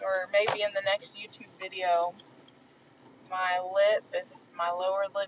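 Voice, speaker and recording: Speaking at a very slow pace in a monotone, flat intonation, a woman is heard with a dry sound that has no echo, amid noticeable background noise. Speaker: vlogger. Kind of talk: casual vlog chat. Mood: relaxed, amused. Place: car. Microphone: phone near.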